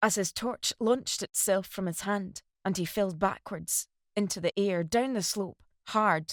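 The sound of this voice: An unforced reading voice moves with ordinary pitch variation. The background is quiet.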